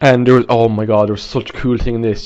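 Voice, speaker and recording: A man speaks with an Irish accent at medium pitch. The background is quiet. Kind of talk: casual video game review to camera. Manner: casual, rambling.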